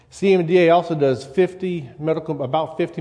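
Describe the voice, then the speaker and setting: Slight Louisiana accent on a man's fairly high-pitched voice with a dark, mellow tone. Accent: slight Louisiana-style Gulf Coast Southern. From US South. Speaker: church elder and lay preacher. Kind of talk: sermon. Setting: church.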